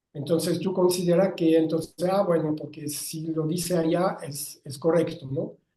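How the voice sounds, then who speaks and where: This man's high-pitched voice has a dark, mellow tone, and he speaks in a monotone, flat way with hardly any pauses. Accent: French. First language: French (speaking Spanish). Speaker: writer and philosopher. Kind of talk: interview. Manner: halting, with frequent self-corrections.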